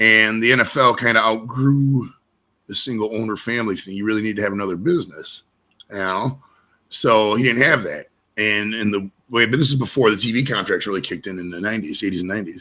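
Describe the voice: Speaking at a fairly quick pace, a man has fairly low pitch and a bright, sharp tone. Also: ordinary pitch variation.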